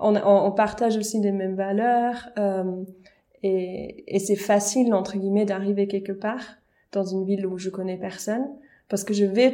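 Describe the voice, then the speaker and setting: In a slight Swiss German accent, a dark, mellow voice speaks with monotone, flat intonation at a fairly slow pace with long, frequent pauses. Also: woman, medium pitch for a woman. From German-speaking Switzerland. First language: Swiss German (speaking French). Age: young. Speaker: vocal coach and pastor. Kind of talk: casual interview.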